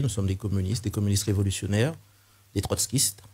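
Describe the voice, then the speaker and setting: A man speaks in a dark, mellow, somewhat breathy tone at a fairly low pitch with ordinary pitch variation. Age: 60s. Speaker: political candidate, retired teacher. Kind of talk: political interview.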